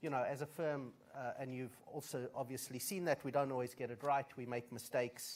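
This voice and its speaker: In a South African accent, the speaker talks at a fairly quick pace with fairly even intonation. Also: man. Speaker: management consultant, conference speaker. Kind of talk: conference speech.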